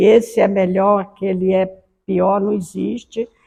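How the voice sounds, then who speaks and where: Very slowly, a woman speaks at a medium pitch in a dark, mellow tone with fairly even intonation. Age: 70s. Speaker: Umbanda spiritual leader. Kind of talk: personal life testimony. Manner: unhurried, conversational with frequent né.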